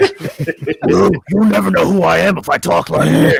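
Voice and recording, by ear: A man puts on a gruff, growling character voice at a moderate pace.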